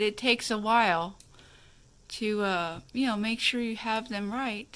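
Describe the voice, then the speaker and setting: A woman's mumbling, fairly slow speech with a bright, sharp tone, fairly high pitch and ordinary pitch variation. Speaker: craft tutorial youtuber. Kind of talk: tutorial. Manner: halting, filler-heavy. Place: home room. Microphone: phone near.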